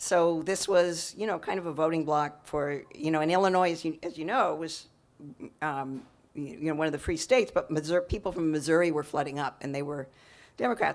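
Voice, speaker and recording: A fairly quick pace with an American accent. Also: woman. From California. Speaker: novelist. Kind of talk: author talk Q&A. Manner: halting, many fillers.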